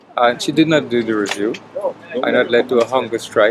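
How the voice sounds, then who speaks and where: Music plays behind the speaker. A man's intonation is lively as he talks fairly quickly. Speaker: hunger strike activist. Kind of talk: interview statement.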